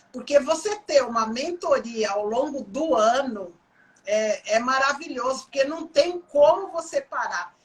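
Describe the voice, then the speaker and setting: Speaking at a fairly slow pace, a woman uses lively intonation in a high-pitched voice. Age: 60s. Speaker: coach. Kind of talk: interview. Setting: livestream.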